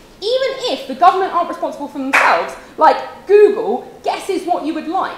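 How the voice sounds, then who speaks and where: Lively in intonation and extremely high in pitch, a woman speaks at a fairly quick pace amid audible room echo and noticeable background noise. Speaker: university debater. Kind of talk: competitive debate speech. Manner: fast.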